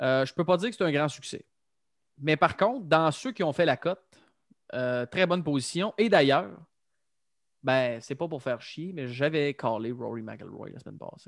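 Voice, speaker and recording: A fairly high-pitched man in a Quebec accent, lively in intonation at a moderate pace, with long, frequent pauses and big swings in loudness, in a dry, close, echo-free and very clean recording over a silent background. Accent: Québécois French. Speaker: golf podcast host. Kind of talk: casual chat.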